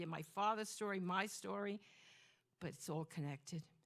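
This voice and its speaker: A woman's fairly low-pitched voice in a Brooklyn accent, with ordinary pitch variation and a fairly quick pace. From Flatbush, Brooklyn, New York (born in Greece, emigrated at 2). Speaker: storyteller. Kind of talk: storytelling performance. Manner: animated.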